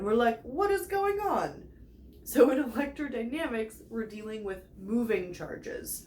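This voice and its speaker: With big swings in loudness and very wide pitch swings, a woman speaks at a high pitch and a fairly slow pace. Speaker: physics tutor. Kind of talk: educational chalkboard lecture. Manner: casual, playful.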